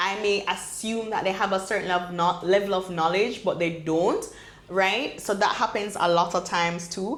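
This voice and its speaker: With a Jamaican accent, a woman talks in fairly even intonation, with audible room echo and noticeable background noise. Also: medium pitch for a woman, moderate pace. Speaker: medical doctor and entrepreneur. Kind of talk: podcast interview. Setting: in-person recording on a campus in Jamaica.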